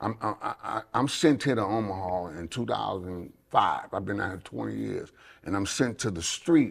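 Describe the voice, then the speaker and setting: A man speaks at a fairly low pitch in a very clean recording with a silent background. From Chicago, US. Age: 60s. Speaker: pastor and gang ministry worker. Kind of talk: interview testimony. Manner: repetitive, stumbling starts.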